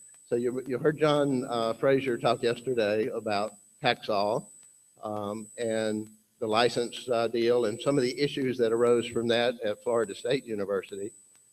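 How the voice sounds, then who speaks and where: A man with a Southern US accent, medium-pitched, at a moderate pace with fairly even intonation. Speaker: conference speaker, research institute representative. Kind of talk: conference presentation. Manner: halting, many fillers.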